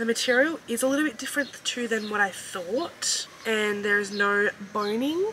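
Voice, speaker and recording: Light background noise sits behind a woman whose upbeat, fairly high voice shows ordinary pitch variation. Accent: Australian. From Australia. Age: 20s. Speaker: fashion haul creator. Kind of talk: casual talk to camera, try-on haul. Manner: upbeat, chatty. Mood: upbeat, excited. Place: home room.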